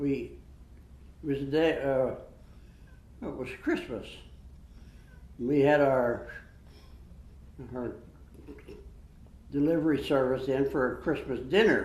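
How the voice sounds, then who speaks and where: A man with a Western Pennsylvania accent speaks at a fairly slow pace and a fairly high pitch. His intonation is fairly even, and long, frequent pauses break up his speech. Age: 90s. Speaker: World War II veteran, army medic. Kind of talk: interview answer.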